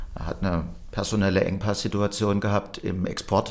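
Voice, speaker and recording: A man talks in a very deep, low pitch. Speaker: company managing director. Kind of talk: interview.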